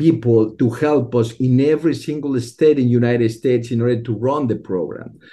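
A man's medium-pitched, dark and mellow voice with a Spanish accent, fairly even intonation and a moderate pace. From Mexico. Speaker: STEM education program leader. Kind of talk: interview. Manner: halting.

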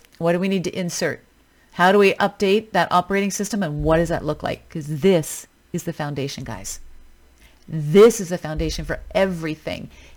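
Her voice sits fairly low for a woman, with ordinary pitch variation. She talks at a fairly quick pace. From Canada, British Columbia. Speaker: fitness coach podcast host. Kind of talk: solo podcast monologue. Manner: casual, conversational.

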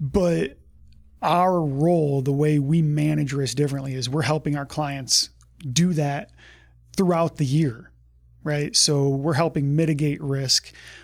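Recorded very cleanly against a silent background, a man with a fairly high pitch and an unremarkable speaking voice talks at a fairly slow pace with fairly even intonation. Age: 40s. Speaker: health insurance broker. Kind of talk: interview.

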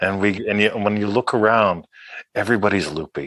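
Dry and close with no echo, a man's plain, everyday voice sits at a fairly low pitch, moving at a moderate pace with ordinary pitch variation. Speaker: author and law of attraction teacher. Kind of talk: interview with guided-meditation moments. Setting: video call.

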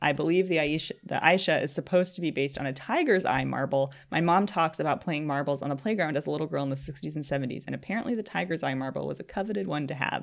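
A woman's very deep, low pitch with vocal fry, lively intonation, a very fast pace and hardly any pauses. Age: 20s. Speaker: podcast co-host. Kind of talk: casual chat.

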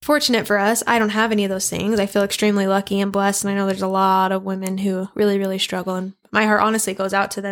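With a western US accent, a woman speaks at a very fast pace with hardly any pauses, her medium pitch held in monotone, flat intonation. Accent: western American. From Idaho, US. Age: 20s. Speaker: podcast co-host. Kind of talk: casual chat.

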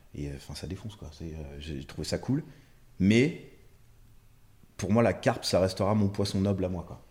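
A man with a very deep, low pitch speaks at a moderate pace, somewhat breathy, with lively intonation, big swings in loudness and long, frequent pauses. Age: 30s. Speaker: carp angler. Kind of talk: casual chat.

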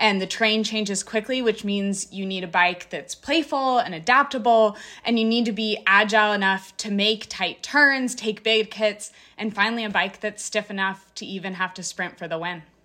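The tone is bright and sharp, with a moderate pace and ordinary pitch variation. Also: woman, medium pitch for a woman. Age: 20s. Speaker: professional mountain biker. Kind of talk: podcast interview.

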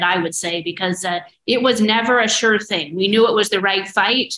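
The speaker has a Midwestern American accent. The pace is fairly quick. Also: woman. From rural Iowa, near Dexter. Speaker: prosecutor and attorney general-elect. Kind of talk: casual interview.

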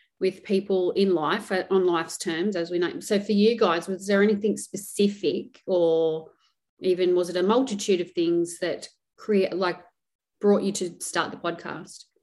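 Speaking with an Australian accent, a woman at medium pitch keeps her intonation fairly even and her pace moderate. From Australia, rural. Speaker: podcast host, nurse. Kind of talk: casual interview chat.

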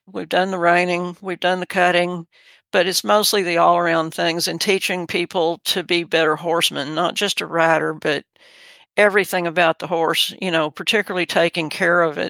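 The speaker has a Texan accent. The recording is very clean, with a silent background. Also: moderate pace. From Texas Gulf Coast. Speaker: horse trainer. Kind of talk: interview. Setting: studio.

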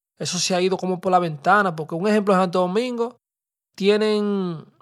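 This man has a high pitch and an animated tone. He speaks at a fairly slow pace. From Dominican community in the Bronx, New York. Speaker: podcast host, rapper. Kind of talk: casual monologue. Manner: animated, heavy Spanish-English code-switching.

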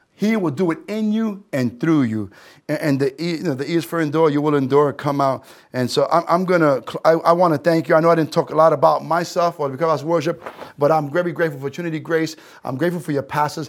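Talking at a very fast pace, a man with a New York accent sounds animated. His pitch is fairly high, with ordinary variation. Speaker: pastor. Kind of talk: sermon.

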